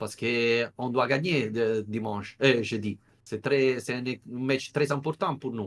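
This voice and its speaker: With an Italian accent, a man of medium pitch talks at a fairly slow pace with ordinary pitch variation. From Italy. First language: Italian (speaking French). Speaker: football journalist. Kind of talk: podcast interview. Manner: halting, searching for words.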